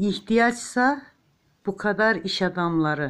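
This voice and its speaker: A woman speaks very slowly, with lively intonation and a warm tone. The recording is very clean, and the background is silent. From eastern Turkey, Ağrı. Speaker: home crafter, knitting tutorial maker. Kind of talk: tutorial with chatty asides. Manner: chatty, warm, informal.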